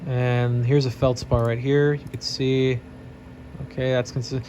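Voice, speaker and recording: A man talks over background noise that is easy to notice. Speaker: geology PhD student and meteorite classifier. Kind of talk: tutorial. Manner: fast; casual with fillers and hesitations.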